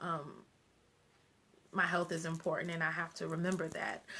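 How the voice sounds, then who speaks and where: A woman's bright, sharp tone. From US Northeast, Long Island (Wyandanch, New York). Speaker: radio show host. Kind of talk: casual live stream talk. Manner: many fillers, halting.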